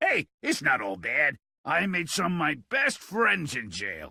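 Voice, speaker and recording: In a put-on character voice, the speaker holds a middle pitch. The pace is fairly slow. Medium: video game. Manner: blunt, coarse, sardonic.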